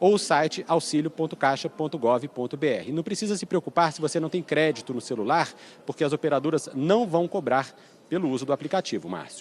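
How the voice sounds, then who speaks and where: A man's fairly high, unremarkable speaking voice at a moderate pace, with lively intonation. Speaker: TV news reporter. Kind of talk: live news report. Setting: presidential palace press area.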